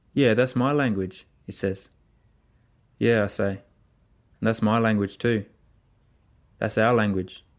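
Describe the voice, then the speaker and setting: Speaking with an Australian accent, a man with a fairly low pitch and fairly even intonation moves at a fairly slow pace, pausing long and often. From Central Australia, Alice Springs. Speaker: playwright and artist. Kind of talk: spoken-word storytelling.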